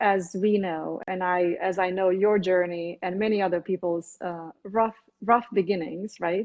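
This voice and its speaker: A woman with a Romanian accent speaks at a fairly slow pace in a medium pitch with ordinary pitch variation. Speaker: physician. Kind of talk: interview.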